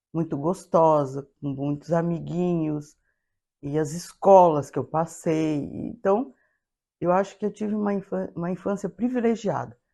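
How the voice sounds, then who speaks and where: A woman with a dark, mellow tone speaks at a fairly slow pace, her pitch varying in an ordinary way over a quiet background. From Brazil, São Paulo state. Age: 70s. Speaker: interviewee. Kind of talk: life-story interview. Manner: halting.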